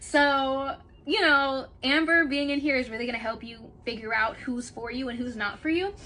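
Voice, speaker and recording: A raised, projected voice with a bright, sharp tone and lively intonation moves at a moderate pace. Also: woman. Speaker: astrologer. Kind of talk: casual chat. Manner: animated.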